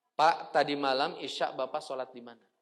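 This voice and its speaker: A man with a fairly high pitch and a plain, everyday voice, at a fairly quick pace. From West Java, Tasikmalaya (Sundanese region). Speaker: Islamic preacher. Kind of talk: religious lecture. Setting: mosque.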